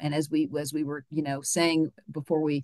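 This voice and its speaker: Recorded in a quiet background with a dry, close sound and no echo, a woman with an American accent and a very deep, low pitch speaks at a moderate pace. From Virginia (Charlottesville). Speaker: historian and professor. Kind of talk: interview. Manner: halting, frequent repetitions and fillers.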